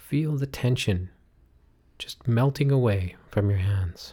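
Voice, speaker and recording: Somewhat breathy and at a fairly slow pace, the voice has a gentle, soothing, dark, mellow tone with ordinary pitch variation. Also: man. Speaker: meditation guide. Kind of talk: guided meditation. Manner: slow, soothing, calm; gentle, drawn-out, hypnotic cadence with audible breaths and sighs.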